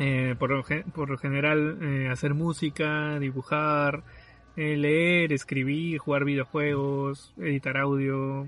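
Very slowly and with very even loudness, a man with a fairly high pitch speaks in a flat, monotone way. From Peru, southern Lima. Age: 20s. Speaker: podcast host, architect. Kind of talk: casual chat. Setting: remote recording from separate locations.

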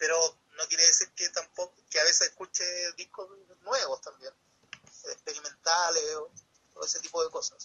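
A man with a Chilean accent at a moderate pace, with big swings in loudness and long, frequent pauses. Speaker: comic artist. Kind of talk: casual chat.

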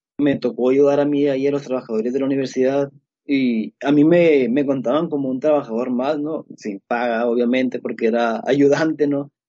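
Fairly high-pitched male speech at a moderate pace, with fairly even intonation and hardly any pauses. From Mexico, Sinaloa. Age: 20s. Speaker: computer engineer and security researcher. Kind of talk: casual interview. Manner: halting, many fillers.

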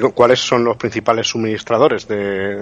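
Fairly quick and fairly even in intonation, the delivery comes from an unremarkable speaking voice. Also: man. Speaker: radio co-host, cybersecurity specialist. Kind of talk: radio talk show.

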